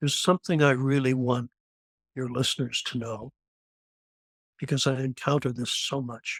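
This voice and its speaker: With a Canadian accent, the speaker keeps a moderate pace and fairly even intonation, leaving long, frequent pauses. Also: man, medium pitch for a man, dry, close sound with no echo. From Canada. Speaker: near-death experience survivor, former airline pilot. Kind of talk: testimony. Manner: halting.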